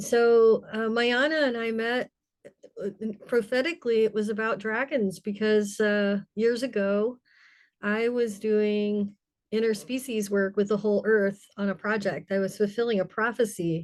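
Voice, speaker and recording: In a normal speaking voice, a woman talks at a fairly slow pace. Her pitch is fairly high and her intonation fairly even. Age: 60s. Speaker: spiritual elder and storyteller. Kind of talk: personal sharing in a group circle.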